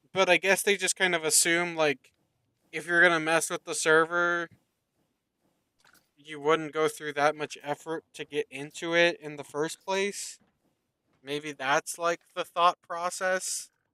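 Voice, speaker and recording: Loud and monotone, a man speaks at a fairly slow pace with long, frequent pauses and flat intonation in a very clean recording with a silent background. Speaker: gaming streamer. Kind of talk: casual live stream chat. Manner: halting, many fillers.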